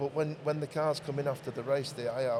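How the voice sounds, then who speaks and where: Somewhat breathy, a man with a medium pitch talks at a very fast pace. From northern England. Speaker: motor racing team owner. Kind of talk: casual interview. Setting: at a race circuit during event. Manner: halting, many repeated words.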